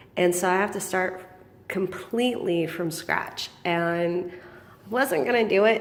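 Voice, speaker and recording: At a fairly slow pace, a woman speaks at a medium pitch with ordinary pitch variation, accompanied by audible room echo and noticeable background noise. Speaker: small business owner selling feeder insects. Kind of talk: casual vlog. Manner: hesitant, many ums.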